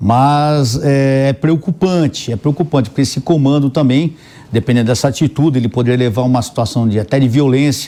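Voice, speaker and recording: At a fairly quick pace, a man talks in a dark, mellow, medium-pitched voice with ordinary pitch variation and very even loudness. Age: 60s. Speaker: political commentator, retired police colonel. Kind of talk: panel debate. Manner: animated.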